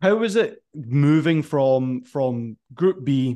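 Here a man speaks with a Scottish accent and a fairly high pitch. The background is quiet. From Scotland. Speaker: podcast host. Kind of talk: casual interview.

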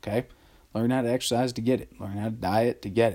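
With a Texan accent, a man talks at a moderate pace. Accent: Texan American. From Texas. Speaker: podcast host. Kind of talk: casual solo monologue. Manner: casual, hesitant with fillers.

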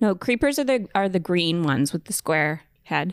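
On a very clean recording with a silent background and a dry, close sound with no echo, a woman with a normal speaking voice talks fairly slowly at medium pitch. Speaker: podcast co-host. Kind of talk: casual chat.

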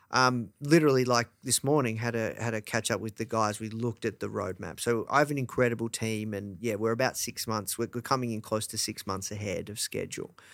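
On a very clean recording with a silent background, a man with an Australian accent speaks at a fairly quick pace with medium pitch and fairly even intonation. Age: 30s. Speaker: entrepreneur, media company founder. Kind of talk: interview.

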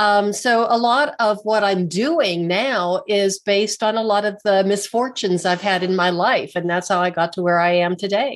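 A woman has an unremarkable speaking voice at a medium pitch, with ordinary pitch variation and very even loudness. She keeps a moderate pace with hardly any pauses. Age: 60s. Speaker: alternative physical therapist and author. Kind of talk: interview conversation.

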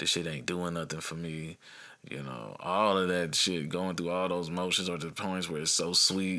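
A man with an American accent speaks at a very deep, low pitch and a moderate pace. His tone is bright and sharp, his intonation fairly even. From US Midwest, Dayton Ohio. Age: 30s. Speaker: podcast host. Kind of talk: casual monologue. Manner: rambling, hesitant with fillers.

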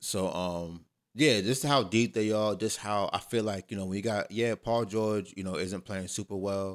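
In a very clean recording with a silent background, a man speaks at a moderate pace with hardly any pauses. His pitch is fairly low with ordinary variation, an ordinary speaking voice. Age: 30s. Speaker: podcast co-host. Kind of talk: casual chat.

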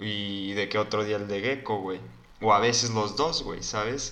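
Here a man speaks in a bright, sharp tone with fairly even intonation. Room echo is audible. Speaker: podcast co-host. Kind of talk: casual chat.

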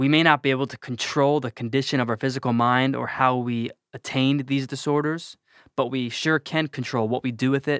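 In an American accent, a man at medium pitch speaks at a fairly quick pace with fairly even intonation, in an unremarkable speaking voice, with a dry, close sound with no echo and a very clean recording with a silent background. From New Jersey. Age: 20s. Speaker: podcast guest sharing mental health story. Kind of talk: personal testimony.

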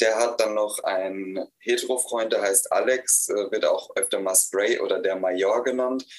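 A man speaks at a very slow pace. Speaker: author and festival organizer. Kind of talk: reading aloud. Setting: live festival stream.

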